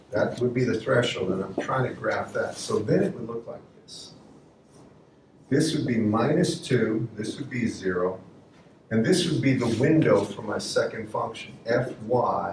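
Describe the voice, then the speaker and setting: Audible room echo surrounds a man speaking at medium pitch and a fairly slow pace with lively intonation. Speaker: university lecturer. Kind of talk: lecture.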